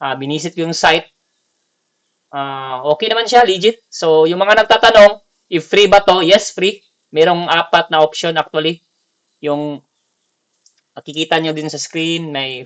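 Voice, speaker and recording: The voice has a Visayan accent and ordinary pitch variation. Its loudness swings widely, and the sound is dry and close with no echo. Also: man. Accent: non-native Tagalog, Bisaya. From Bicol / Visayas, Philippines. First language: Bisaya (speaking Tagalog). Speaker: gaming tutorial creator. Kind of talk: tutorial. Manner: halting, many fillers.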